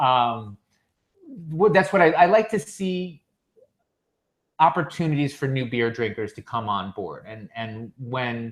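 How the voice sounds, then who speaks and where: The speech moves at a fairly slow pace with long, frequent pauses, very wide pitch swings, and big swings in loudness. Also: man, medium pitch for a man. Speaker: beer podcast host. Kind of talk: casual chat.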